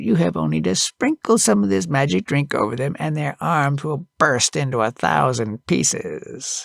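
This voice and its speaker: A man uses a put-on character voice at a medium pitch and a moderate pace. The recording is very clean, with a silent background. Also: hardly any pauses. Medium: read story.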